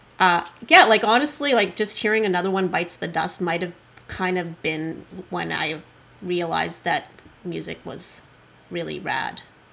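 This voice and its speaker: A woman with a fairly low pitch speaks at a moderate pace with ordinary pitch variation and long, frequent pauses. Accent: Canadian. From Canada, Kelowna, British Columbia. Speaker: rock musician. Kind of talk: casual interview.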